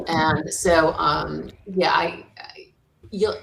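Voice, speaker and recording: A woman's voice with audible room echo. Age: 60s. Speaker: senior move manager. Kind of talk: interview.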